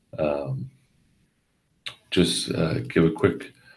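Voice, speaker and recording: A man talks with very wide pitch swings and a somewhat breathy sound. Audible room echo surrounds him. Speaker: education program presenter. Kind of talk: informational webinar presentation. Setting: online webinar broadcast. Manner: halting, many fillers.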